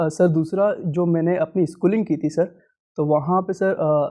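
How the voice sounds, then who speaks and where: A man with a high pitch talks in a fairly even intonation. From Madhya Pradesh, India (Agar Malwa district). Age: 20s. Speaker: civil services exam candidate. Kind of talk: mock job interview. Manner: hesitant, many fillers; formal, deferential.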